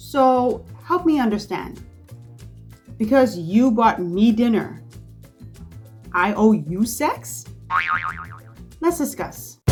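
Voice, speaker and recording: The speaker goes very slowly, with long, frequent pauses and very wide pitch swings. Music plays in the background. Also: woman, fairly high pitch for a woman. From Bahamas. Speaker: content creator. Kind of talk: casual talk to camera.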